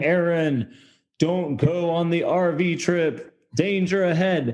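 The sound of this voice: A man in a put-on character voice, high in pitch, at a very slow pace.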